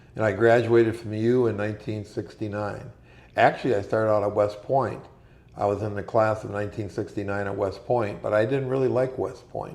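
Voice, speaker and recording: A man with an Upper Midwest accent talks at a fairly low pitch and a fairly quick pace, his intonation fairly even, with audible room echo around him. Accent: Upper Midwest American. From Minnesota, Minneapolis. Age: 70s. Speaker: war veteran. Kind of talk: interview.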